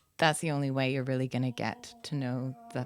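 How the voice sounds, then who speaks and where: Talking at a fairly quick pace, a woman with a very deep, low pitch shows ordinary pitch variation. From Spain. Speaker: visual artist. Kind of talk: interview about her art project. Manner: casual with fillers.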